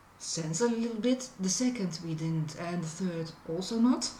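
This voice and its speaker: Speaking with a Dutch accent, a woman goes at a very slow pace with lively intonation. Audible room echo and noticeable background noise surround her voice. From Netherlands. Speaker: food reviewer. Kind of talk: product review vlog. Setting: outdoors on a balcony. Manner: hesitant, many fillers.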